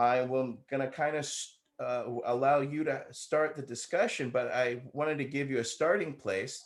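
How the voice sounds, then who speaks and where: A man has a normal speaking voice with an American accent. His fairly high pitch follows fairly even intonation. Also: moderate pace. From California. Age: 50s. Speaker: moderator, veteran. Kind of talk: moderated roundtable interview. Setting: online video call.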